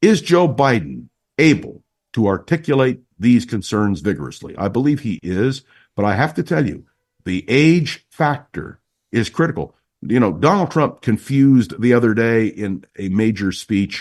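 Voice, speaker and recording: In an American accent, a man speaks at a moderate pace and medium pitch, with vocal fry. His pitch swings very widely against a quiet background. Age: 70s. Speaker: political commentator and radio host. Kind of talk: political interview. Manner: formal.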